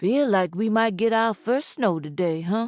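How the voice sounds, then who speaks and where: A put-on, menacing character voice from a woman at medium pitch, with lively intonation and a moderate pace. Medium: read story. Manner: folksy and casually menacing.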